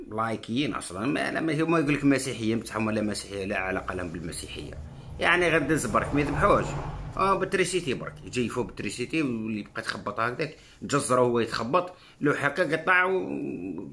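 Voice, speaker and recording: Over light background noise, a man talks with very wide pitch swings. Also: medium pitch for a man, moderate pace. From Algeria. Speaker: political commentator. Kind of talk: political monologue. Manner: animated. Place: home room. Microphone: phone near.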